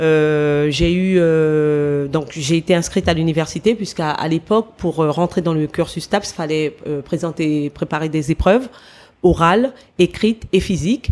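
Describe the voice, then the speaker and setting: Recorded very cleanly against a silent background, a woman with an unremarkable speaking voice talks at a fairly slow pace in a fairly low pitch with ordinary pitch variation. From French Guiana (Matoury, Cayenne). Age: 40s. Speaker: former athlete, sports manager. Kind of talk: interview.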